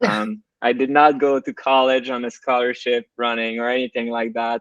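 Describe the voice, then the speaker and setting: A man talks at a moderate pace with a French accent. His delivery is monotone and flat, the sound dry and close with no echo. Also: medium pitch for a man. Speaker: podcast co-host, ultrarunner. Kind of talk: casual chat.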